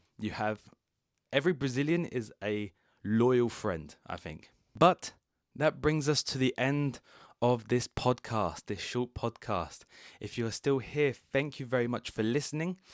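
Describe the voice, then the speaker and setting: A man with a British accent talks fairly slowly at a medium pitch with lively intonation, in a very clean, silent recording with a dry, close sound and no echo. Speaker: English teacher. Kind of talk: podcast monologue. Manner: slow and clear.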